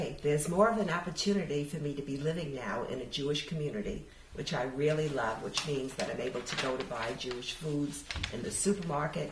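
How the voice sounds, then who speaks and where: A woman with a very deep, low pitch and an American accent, lively intonation at a fairly quick pace, over noticeable background noise. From New York City. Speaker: oral history interviewee. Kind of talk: interview answer.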